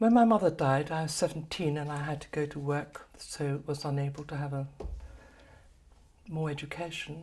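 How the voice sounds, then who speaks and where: Very deep and low, this woman's voice has a dark, mellow tone and is somewhat breathy. She keeps a moderate pace with ordinary pitch variation and long, frequent pauses. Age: 70s. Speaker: kinesiology practitioner. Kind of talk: personal talk to camera. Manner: halting.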